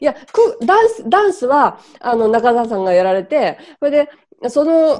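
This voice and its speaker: A woman talks fairly slowly in a high voice. Her pitch swings very widely. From Japan. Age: 50s. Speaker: photographer and interviewer; interviewer. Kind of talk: interview. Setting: video call. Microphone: video call.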